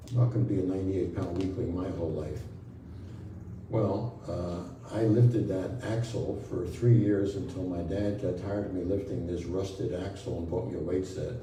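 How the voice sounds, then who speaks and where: A man with an American accent speaks at a moderate pace in a very deep, low pitch with ordinary pitch variation. Noticeable background noise and audible room echo are present. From Brooklyn, New York. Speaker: spiritual healer. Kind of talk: talk to an audience.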